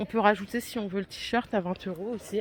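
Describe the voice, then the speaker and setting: This woman has a medium pitch. Her pace is moderate. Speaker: shopping vlogger. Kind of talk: in-store product haul video. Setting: inside a discount store. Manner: casual, with frequent fillers.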